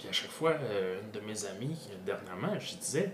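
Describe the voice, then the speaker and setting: There is noticeable background noise in this clip. A man speaks in a Quebec accent. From Granby, Quebec. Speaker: podcast host. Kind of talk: casual interview chat. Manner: hesitant, many filler words and repetitions.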